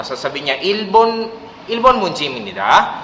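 Male speech at a moderate pace, with noticeable background noise and audible room echo. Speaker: Korean language teacher. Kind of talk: tutorial. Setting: office.

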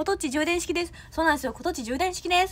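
Here a woman talks very fast with a Kansai accent. Her tone is animated. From Osaka. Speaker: idol trainee; idol trainee livestreamer. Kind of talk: livestream chat with viewers. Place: home room. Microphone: phone near.

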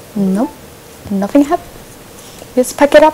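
Noticeable background noise sits behind a woman speaking at a moderate pace. Her pitch makes very wide swings. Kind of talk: casual gameplay commentary.

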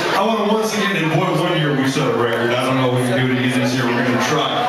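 A man talking at a very fast pace amid loud background noise, with audible room echo. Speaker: charity auctioneer. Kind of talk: emcee introduction and interview questions to the artist. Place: hall.

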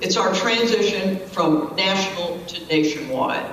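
A woman at medium pitch talks at a fairly slow pace, her fairly bright tone moving with ordinary pitch variation amid strong room echo.

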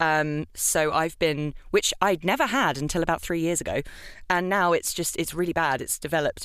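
Recorded very cleanly against a silent background, this voice has a British accent, ordinary pitch variation and a moderate pace. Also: woman, fairly low pitch for a woman. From UK. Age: young. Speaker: voice actor. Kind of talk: casual chat.

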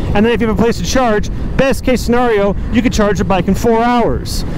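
A man talks at a fairly quick pace with fairly even intonation and very even loudness, his voice dry with no echo over noticeable background noise. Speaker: motovlogger. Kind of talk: casual vlog chat. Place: motorbike. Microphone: helmet.

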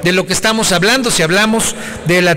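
Light background noise sits behind a man with a high pitch. He talks at a fairly quick pace with ordinary pitch variation. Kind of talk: parliamentary speech. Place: hall. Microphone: podium.

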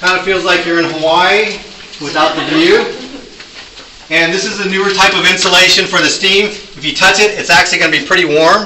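Projecting a raised voice, a man speaks amid light background noise and audible room echo. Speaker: tunnel tour guide. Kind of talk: guided tour explanation. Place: tunnel cave. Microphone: camera far.

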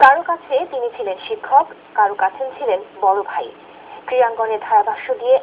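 A man's extremely high-pitched voice with very wide pitch swings over noticeable background noise. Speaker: TV news reporter. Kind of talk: TV news report voice-over.

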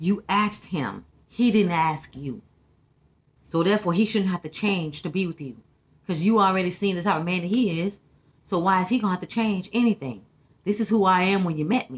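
Somewhat breathy, a woman rushes along at a very fast pace with ordinary pitch variation. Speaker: vlogger giving relationship opinions. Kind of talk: casual vlog chat. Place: kitchen. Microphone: phone near.

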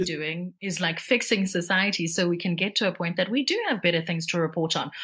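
This woman talks at a fairly quick pace. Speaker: newsreader and voice-over artist. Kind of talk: interview answer.

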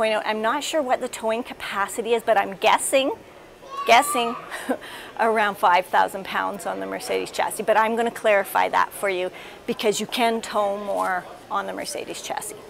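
A moderate pace with crowd noise in the background. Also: woman. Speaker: RV reviewer. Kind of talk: casual tour commentary. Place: hall. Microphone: lapel.

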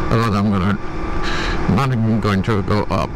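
Noticeable background noise surrounds a man whose voice sounds dry, with no echo. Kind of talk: casual vlog chat. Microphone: helmet.

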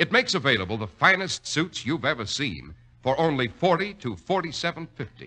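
With a bright, sharp tone and vocal fry, a man speaks at a fairly high pitch and a moderate pace, his pitch swinging very widely. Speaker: radio announcer. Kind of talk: radio commercial and announcer narration. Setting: studio. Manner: smooth, polished, formal sales-pitch delivery. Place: studio. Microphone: old recording.

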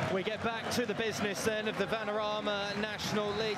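A high-pitched man's voice amid noticeable background noise. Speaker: football commentator. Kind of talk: live football commentary, play-by-play.

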